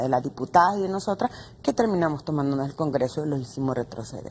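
Light noise sits behind the woman's voice. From Honduras. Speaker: feminist activist; guest. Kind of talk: panel discussion. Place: studio.

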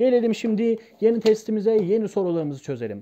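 Lively intonation runs through this man's speech. His tone is dark and mellow. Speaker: primary school teacher. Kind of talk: tutorial. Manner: animated, explanatory with rhetorical questions.

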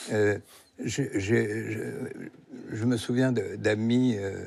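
A man speaks in a fairly low voice. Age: 70s. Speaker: novelist; guest. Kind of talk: interview. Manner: halting. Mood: reflective, serious topic of death. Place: studio. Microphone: lapel.

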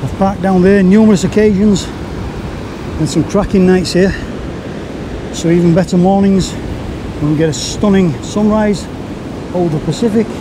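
Over noticeable background noise in a dry sound with no echo, a man with a high pitch speaks at a moderate pace with fairly even intonation and long, frequent pauses. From Yorkshire. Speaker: photography vlogger; photographer vlogger. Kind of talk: casual vlog narration. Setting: outdoors on a windy beach. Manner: chatty, relaxed. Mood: relaxed, fond of place. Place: beach.

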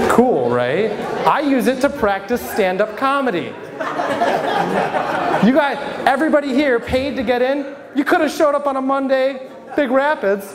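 Over crowd noise in the background, a man with an American accent talks at a fairly slow pace in an extremely high pitch with ordinary pitch variation. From Michigan (Flint); Michigan. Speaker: stand-up comedian and local newspaper reporter; stand-up comedian, local newspaper reporter. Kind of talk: stand-up. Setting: stage with audience at a brewery. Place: bar. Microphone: handheld.

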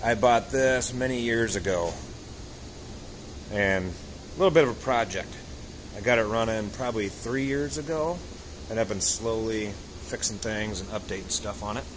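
Over noticeable background noise, a man talks at a moderate pace with long, frequent pauses. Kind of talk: casual show-and-tell commentary. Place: garage. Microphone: phone near.

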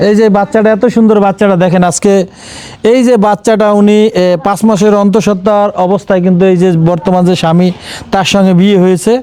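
A man speaks with high pitch and fairly even intonation. His loudness stays very even. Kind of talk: field report and interview.

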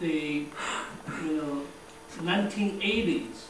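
A man talks with ordinary pitch variation. Light background noise and audible room echo surround him. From China. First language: Chinese. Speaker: visiting ceramic artist. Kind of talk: lecture. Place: hall. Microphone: camera far.

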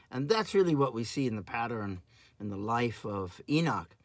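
A man speaks at a moderate pace against a quiet background. The sound is dry, with no echo. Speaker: pastor or Bible teacher. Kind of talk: sermon. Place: home room. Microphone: phone near.

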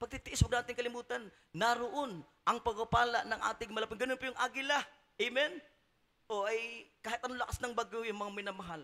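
A man speaks very fast in a raised, projected voice at an extremely high pitch. His tone is bright, sharp and animated, with ordinary pitch variation. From Philippines. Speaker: preacher. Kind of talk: sermon. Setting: church. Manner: animated, exhortative, call-and-response with congregation. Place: church. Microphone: handheld.

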